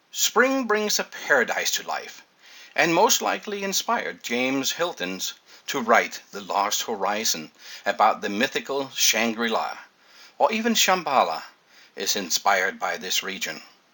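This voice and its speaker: A man's fairly high voice with vocal fry, very wide pitch swings, a bright, sharp tone and a moderate pace. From Denmark. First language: Danish. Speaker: water ionizer salesman. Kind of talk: scripted narration.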